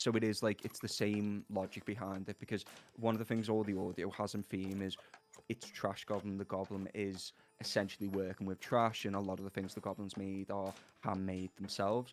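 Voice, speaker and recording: In a Liverpool accent, a man with a fairly low pitch talks at a fairly quick pace in a monotone, flat intonation. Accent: Scouse. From northern England, Liverpool. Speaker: audio designer. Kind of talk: casual chat. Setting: live stream.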